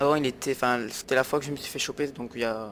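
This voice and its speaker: At a very fast pace, a man with a medium pitch speaks in fairly even intonation. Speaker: gaming video creator. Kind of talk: gameplay commentary. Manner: halting, many fillers.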